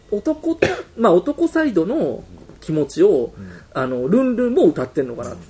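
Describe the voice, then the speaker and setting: An animated man with high pitch and very wide pitch swings at a moderate pace, over noticeable background noise. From Osaka, Japan. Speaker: musician discussing new album. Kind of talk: casual chat. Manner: animated, frequent laughter.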